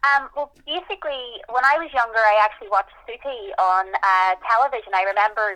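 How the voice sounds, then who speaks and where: With a Northern Irish accent, a woman talks at a fairly quick pace in a fairly high pitch, her tone bright and sharp and her pitch variation ordinary. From Northern Ireland, Belfast. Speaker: magician. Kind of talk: interview.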